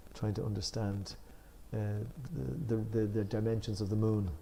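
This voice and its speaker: A somewhat breathy man's voice, fairly low in pitch and dark, mellow in tone, at a fairly quick pace. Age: 60s. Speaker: spiritual discussion leader. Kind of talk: religious study discussion. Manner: halting.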